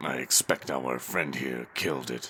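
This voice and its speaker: A man puts on a raspy character voice at a very deep, low pitch, moving at a moderate pace over clear background noise. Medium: audio drama. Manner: calm, brooding.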